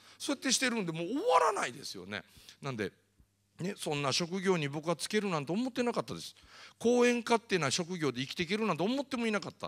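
This man talks at a very fast pace in a high voice, his tone animated and his pitch swinging very widely. The background is quiet. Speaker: motivational speaker. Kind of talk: lecture. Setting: stage with audience. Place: hall. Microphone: handheld.

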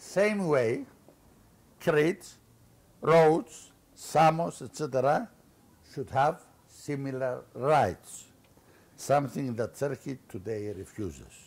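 Speaking very slowly with long, frequent pauses, a man talks in a Greek accent. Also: lively intonation. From Cyprus. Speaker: former politician. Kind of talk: lecture. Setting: stage with audience. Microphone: podium.

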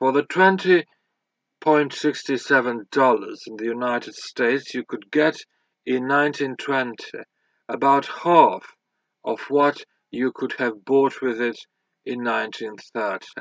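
A man talks at a very slow pace with a fairly high pitch and ordinary pitch variation. The sound is dry with no echo, over a quiet background. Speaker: audiobook reader. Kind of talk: audiobook reading of a scholarly history text, read aloud. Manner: formal, measured, even-paced. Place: home room. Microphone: webcam.

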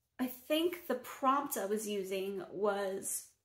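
There is audible room echo as a woman speaks at a fairly high pitch. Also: quiet background. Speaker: poet. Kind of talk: casual talk to camera. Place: home room. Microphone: phone near.

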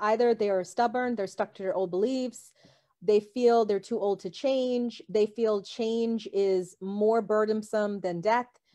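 Against a quiet background, a woman with a dark, mellow tone speaks at a fairly high pitch and a fairly slow pace, with fairly even intonation. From developing country abroad. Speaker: psychic; guest. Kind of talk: casual chat. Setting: video call. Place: home room. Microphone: video call.

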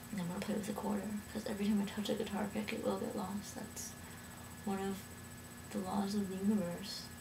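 A very fast pace broken by long, frequent pauses, with noticeable background noise. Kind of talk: casual talk to camera. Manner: rambling, out of it.

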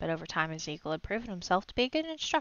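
The passage is read out loud. The reading is plain.

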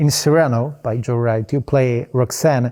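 The voice has a dark, mellow tone and a Polish accent, moving at a fairly slow pace. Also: man, very clean recording, silent background. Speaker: film festival interviewer. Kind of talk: interview. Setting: film festival. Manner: hesitant, with many fillers.

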